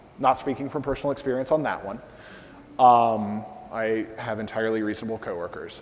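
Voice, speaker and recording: The voice is loud, with noticeable background noise behind it. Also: man. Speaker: conference speaker on SEO. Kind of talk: conference talk with audience Q&A. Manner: casual, filler-heavy.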